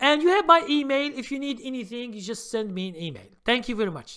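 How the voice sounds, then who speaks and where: On a very clean recording with a silent background, a man with a non-native accent uses a raised, projected voice with a bright, sharp tone, lively intonation and a moderate pace. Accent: foreign. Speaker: stock trading educator. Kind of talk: live stream Q&A. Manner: halting, many fillers.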